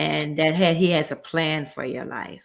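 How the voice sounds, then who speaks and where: At a fairly slow pace, a woman talks in a fairly low pitch. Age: 60s. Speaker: interview guest. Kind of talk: interview.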